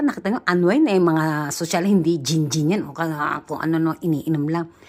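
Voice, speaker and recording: A woman talks in a fairly low voice with an animated tone and ordinary pitch variation. Her pace is moderate, on a very clean recording with a silent background. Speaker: vlogger. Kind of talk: casual vlog talk.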